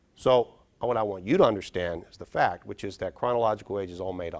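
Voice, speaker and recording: A man speaks at a fairly quick pace with an animated tone. His pitch varies in an ordinary way. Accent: western Pennsylvania. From Pittsburgh area, Pennsylvania. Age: 50s. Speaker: brain health speaker. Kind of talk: keynote talk. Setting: stage with audience.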